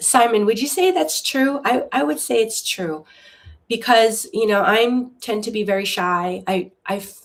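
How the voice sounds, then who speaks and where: With lively intonation, a woman speaks at a fairly slow pace in a fairly high voice. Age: 60s. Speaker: YouTube lifestyle host, former art director. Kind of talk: casual live-stream chat. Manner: slow, thoughtful; hesitant, many restarts.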